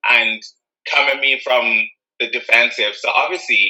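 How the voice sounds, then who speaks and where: The speaker talks at a fairly slow pace in an Irish accent. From Ireland. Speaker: anti-racism activist. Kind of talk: casual chat.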